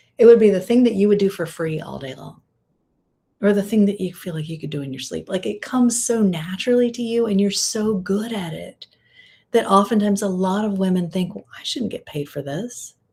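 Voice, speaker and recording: A soft-spoken, dark, mellow tone with big swings in loudness, on a very clean recording with a silent background. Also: woman, ordinary pitch variation, fairly quick pace. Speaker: women's visibility and style coach. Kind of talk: live video talk. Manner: not high energy, reserved.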